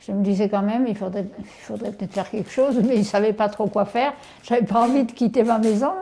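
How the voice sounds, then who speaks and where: Over noticeable background noise, a woman talks at a moderate pace in a fairly high voice with ordinary pitch variation. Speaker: elderly host of a student lodger. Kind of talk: casual chat.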